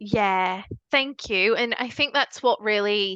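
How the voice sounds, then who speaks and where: A woman's medium-pitched voice with a strong northern English accent, bright and sharp in tone, very slow, in a dry, close sound with no echo and a quiet background. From northern England, Leeds. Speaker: charity founder. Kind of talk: podcast interview.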